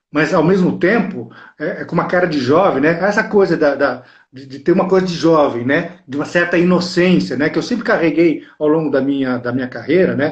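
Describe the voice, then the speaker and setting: A man with an unremarkable speaking voice, fairly high in pitch, talking at a fairly quick pace with lively intonation. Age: 60s. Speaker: actor. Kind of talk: interview.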